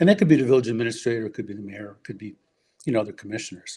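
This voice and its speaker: With a Chicago accent, a man talks in a dark, mellow tone. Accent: Chicago-area American. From US Midwest, Forest Park, Illinois. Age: 70s. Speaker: urban-planning scholar and former school board member. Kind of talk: podcast interview. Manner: halting, with frequent fillers and restarts.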